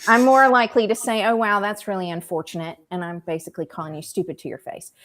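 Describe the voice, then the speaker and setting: A woman's very fast speech in a Southern accent, medium in pitch with lively intonation and big swings in loudness, in a very clean recording with a silent background. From US South, rural South Carolina. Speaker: political writer. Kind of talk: casual chat.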